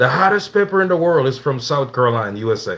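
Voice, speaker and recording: A man with a Jamaican accent speaks at a very fast pace, at a medium pitch. His intonation is lively and his tone bright and sharp. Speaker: cooking livestreamer. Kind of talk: live cooking stream with chat. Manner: casual, conversational.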